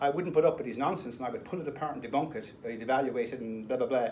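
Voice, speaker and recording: In a room with audible echo, a man with a fairly high pitch speaks in an animated tone with ordinary pitch variation. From Ireland. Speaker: speaker. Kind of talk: public talk. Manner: fast.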